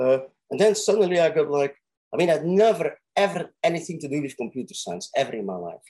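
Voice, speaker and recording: Speaking at a fairly quick pace, a man with a fairly high pitch and a dark, mellow tone uses lively intonation and big swings in loudness. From Belgium. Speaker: physicist and professor. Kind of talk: intellectual conversation. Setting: video call.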